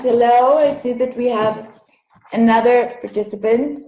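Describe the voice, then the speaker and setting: With a non-native accent, a woman speaks at a moderate pace. Her pitch is fairly high. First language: Hebrew. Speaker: Hebrew language educator. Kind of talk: online workshop. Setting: video call webinar. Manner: halting, many fillers.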